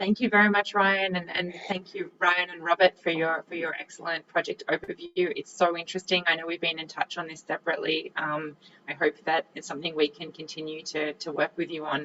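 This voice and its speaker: A woman with an Australian accent, fairly low pitch, fairly even intonation, a fairly quick pace, hardly any pauses and big swings in loudness. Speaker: panel moderator. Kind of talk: panel moderation.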